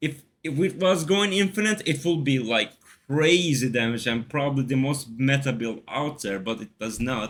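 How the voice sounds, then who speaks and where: A man with a non-native accent speaks at a moderate pace in a fairly high pitch with lively intonation. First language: not English. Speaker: gaming video creator. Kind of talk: tutorial. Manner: casual, with filler words.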